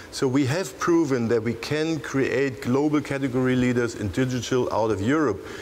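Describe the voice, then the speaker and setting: Speaking at a moderate pace with a German accent, a man keeps a medium pitch and ordinary pitch variation over noticeable background noise. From Germany. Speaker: tech entrepreneur panelist. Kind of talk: panel discussion.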